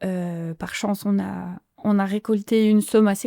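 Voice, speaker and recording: A woman speaks in a monotone, flat intonation with a dark, mellow tone. The sound is dry and close with no echo, on a very clean recording with a silent background. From France, Franche-Comté (Haut-Doubs). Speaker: illustrator and author. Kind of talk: podcast interview. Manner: hesitant, many fillers and repetitions.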